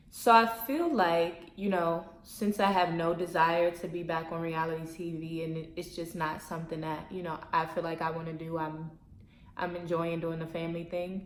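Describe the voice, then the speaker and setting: Amid noticeable background noise and audible room echo, a woman with a fairly low pitch speaks at a moderate pace with fairly even intonation. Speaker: YouTuber, former reality TV personality. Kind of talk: casual Q&A vlog. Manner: monotone.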